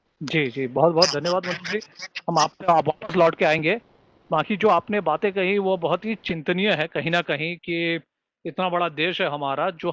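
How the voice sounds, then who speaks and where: A man with a non-native accent speaks at a high pitch and a moderate pace. The sound is dry and close, without echo. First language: not Hindi (speaking Hindi). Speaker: webinar moderator, screenwriter. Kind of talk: webinar panel discussion.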